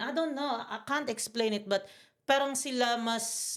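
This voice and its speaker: This woman's voice is high in pitch. She talks at a fairly slow pace. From Philippines, Bicol. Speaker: podcast guest. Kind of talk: casual chat. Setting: studio, on camera. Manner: loud; animated.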